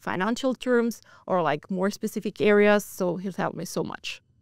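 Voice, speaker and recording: A woman with an Italian accent speaks at a medium pitch, and the sound is dry and close with no echo in a very clean recording with a silent background. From Italy. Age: 20s. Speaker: financial crime analyst. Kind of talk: interview. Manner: hesitant, lots of fillers.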